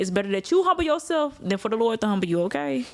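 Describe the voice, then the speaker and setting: A woman with a slight country accent speaks at a medium pitch. Her tone is animated. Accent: slight country twang. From Arkansas, Little Rock. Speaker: news reporter and anchor. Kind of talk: casual chat.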